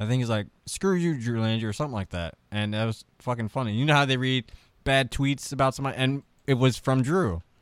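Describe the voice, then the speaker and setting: Speaking with an American accent, a man uses an unremarkable speaking voice at medium pitch and a fairly quick pace. His pitch varies in an ordinary way on a very clean recording with a silent background. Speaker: comedian. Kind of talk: casual chat, comedy podcast interview.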